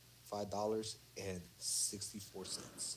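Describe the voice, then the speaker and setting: A man with a fairly low pitch, over noticeable background noise. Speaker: accounting student. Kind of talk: casual study group walkthrough.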